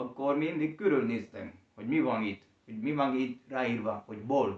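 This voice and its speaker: A man speaks with a Spanish accent. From Colombia. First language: Spanish (speaking Hungarian). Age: young. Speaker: language learner and teacher. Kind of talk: interview. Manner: slow; halting.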